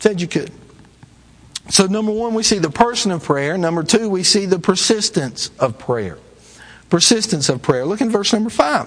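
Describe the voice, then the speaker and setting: Over noticeable background noise, a high-pitched man in a Southern US accent talks at a moderate pace with lively intonation. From US South. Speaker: traveling evangelist preacher. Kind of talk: sermon. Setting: church.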